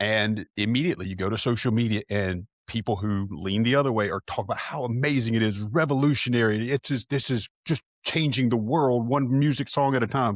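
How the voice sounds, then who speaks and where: The tone is animated, with ordinary pitch variation and hardly any pauses. The recording is very clean and dry, close with no echo, over a silent background. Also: man, medium pitch for a man, fairly quick pace. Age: 40s. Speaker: podcast co-host. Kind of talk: casual chat.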